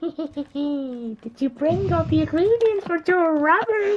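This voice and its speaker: A squeaky, high-pitched put-on character voice at a fairly slow pace. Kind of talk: comic overacting. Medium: solo performance. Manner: cackling, scheming.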